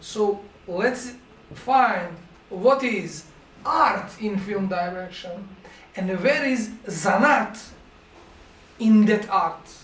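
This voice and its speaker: With a Montenegrin accent and a high pitch, a man speaks at a very slow pace with ordinary pitch variation and long, frequent pauses, amid audible room echo and noticeable background noise. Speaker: film directing professor. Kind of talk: masterclass lecture. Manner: halting.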